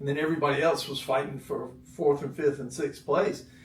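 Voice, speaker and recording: Speaking at a moderate pace with an American accent, a man uses a fairly high pitch and fairly even intonation, with noticeable background noise and audible room echo. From North Carolina. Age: 60s. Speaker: former pro tennis player, real estate executive. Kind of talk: interview. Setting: studio.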